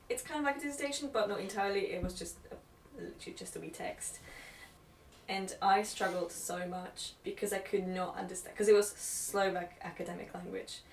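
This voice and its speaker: A woman's fairly quick speech with big swings in loudness over noticeable background noise. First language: not English. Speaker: podcast host. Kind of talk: casual chat.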